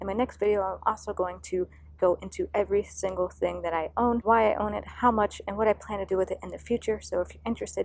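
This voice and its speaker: Soft-spoken and at a very fast pace, a woman talks with hardly any pauses. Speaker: investing vlogger. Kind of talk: casual finance vlog. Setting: outdoors. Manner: quiet. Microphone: poor audio outdoors.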